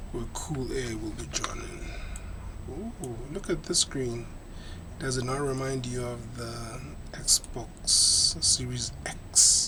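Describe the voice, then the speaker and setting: The speech moves at a very slow pace. Noticeable background noise runs behind it. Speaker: concept designer presenting console design. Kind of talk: tutorial-style design walkthrough.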